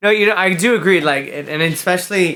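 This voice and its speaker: A man speaks with a Spanish accent. His tone is bright and sharp, at a moderate pace. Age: 30s. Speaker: actor and model. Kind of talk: casual chat.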